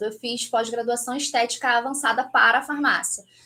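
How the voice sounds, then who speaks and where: A raised, projected voice from a woman, bright and sharp in tone. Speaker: aesthetic pharmacist. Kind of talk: lecture. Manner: fast.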